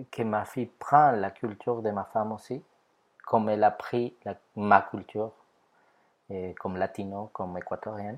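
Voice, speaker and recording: A man speaks at a medium pitch with a Spanish accent. His pitch varies in an ordinary way. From Ecuador. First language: Spanish (speaking French). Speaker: photographer. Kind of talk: testimony.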